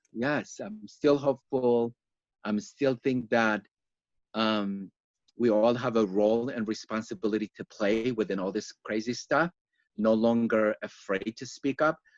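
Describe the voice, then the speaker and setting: Speaking at a fairly slow pace, a man has a medium pitch and a non-native accent with ordinary pitch variation. The sound is dry and close, with no echo. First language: not English. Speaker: yoga teacher. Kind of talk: interview. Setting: online live stream.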